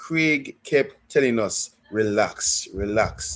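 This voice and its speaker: A man with a Jamaican accent is heard on a very clean recording against a silent background. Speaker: football fan livestreamer. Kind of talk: live stream chat. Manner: halting, repeats words.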